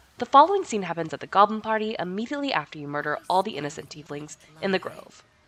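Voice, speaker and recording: Amid noticeable background noise, a woman of medium pitch speaks at a very fast pace, with big swings in loudness and very wide pitch swings. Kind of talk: casual game guide narration.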